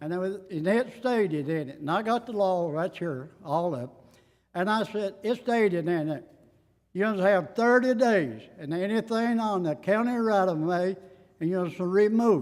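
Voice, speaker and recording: In an Appalachian accent, a man with a high pitch speaks with lively intonation on a very clean recording with a silent background. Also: moderate pace. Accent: Appalachian Southern. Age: 70s. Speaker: citizen addressing county court. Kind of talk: public comment at meeting. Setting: county fiscal court meeting. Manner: halting.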